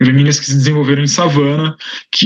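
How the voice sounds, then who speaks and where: A man speaks with a fairly high pitch. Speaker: researcher. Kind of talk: lecture. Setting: online livestream. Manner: fast.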